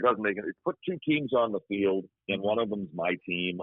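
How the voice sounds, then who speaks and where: A man talks at a fairly quick pace, his pitch fairly low and its variation ordinary. He has a plain, everyday voice. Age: 60s. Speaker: radio play-by-play sports broadcaster. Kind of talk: casual interview chat.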